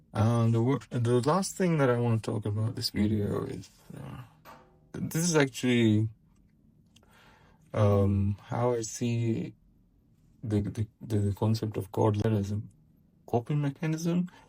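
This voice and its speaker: A man speaks at a fairly slow pace with long, frequent pauses. His medium-pitched voice is somewhat breathy with a dark, mellow tone and ordinary pitch variation. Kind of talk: personal commentary monologue. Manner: hesitant, many filler words.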